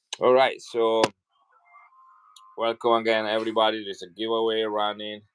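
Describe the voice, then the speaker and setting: Over music in the background, a man of medium pitch talks in a flat monotone at a moderate pace, with long, frequent pauses. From Italy, Milan. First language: Italian. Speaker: coin seller. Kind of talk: live selling stream. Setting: livestream.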